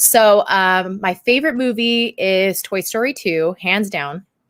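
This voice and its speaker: Woman with a Californian accent, medium in pitch, in a very clean recording with a silent background and a dry, close sound with no echo. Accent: General American (Californian). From Southern California. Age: 20s. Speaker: YouTuber and podcast co-host. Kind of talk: casual chat. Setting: live stream.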